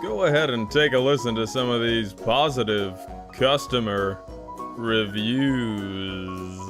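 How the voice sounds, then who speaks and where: The voice sounds upbeat and enthusiastic, with lively intonation. Music plays in the background. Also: man. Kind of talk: parody TV commercial read. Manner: upbeat, enthusiastic.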